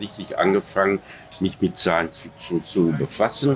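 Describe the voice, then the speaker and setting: A man's fairly low voice with ordinary pitch variation over noticeable background noise. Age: 70s. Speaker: author and science fiction historian. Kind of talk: interview. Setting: outdoor restaurant. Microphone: poor sound quality.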